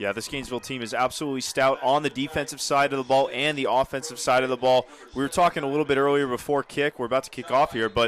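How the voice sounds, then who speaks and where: Over noticeable background noise, a man speaks at a very fast pace with a medium pitch. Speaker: sports broadcaster, play-by-play announcer. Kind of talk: color commentary in conversation with co-announcer. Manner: conversational, analytical.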